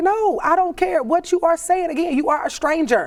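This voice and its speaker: Very fast and loud, a woman speaks in an extremely high pitch. Her tone is animated. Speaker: entrepreneur and influencer, podcast guest. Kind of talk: casual interview conversation.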